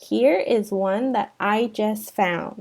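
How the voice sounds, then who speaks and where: A woman puts on a character voice at a medium pitch. Her intonation stays fairly even. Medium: read story.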